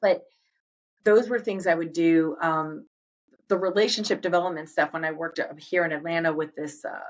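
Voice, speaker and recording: A woman talks fairly quickly, and her pitch moves in an ordinary way. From Boston area, US Northeast. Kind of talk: interview conversation. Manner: fast.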